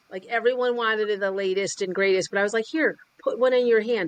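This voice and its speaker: The delivery is animated and fairly quick. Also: woman. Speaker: sales and business coach. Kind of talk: interview. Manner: loud.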